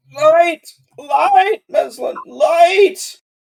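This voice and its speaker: This is a put-on character voice pitched extremely high. It shouts, and it sounds hoarse. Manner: shouting.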